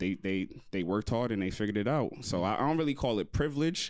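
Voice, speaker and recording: A man with a New York accent at a very fast pace, lively in intonation and very even in loudness. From New York City, Queens and Long Island. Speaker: podcast co-host, real estate. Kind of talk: casual chat.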